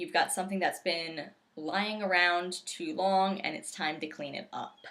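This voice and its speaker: A woman speaks at a moderate pace with a medium pitch. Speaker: tarot reader. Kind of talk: tarot forecast monologue. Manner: casual, lighthearted.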